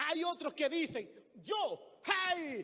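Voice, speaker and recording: With an animated tone, a man speaks in a raised, projected voice at an extremely high pitch. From Dominican Republic. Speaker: pastor. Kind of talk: sermon.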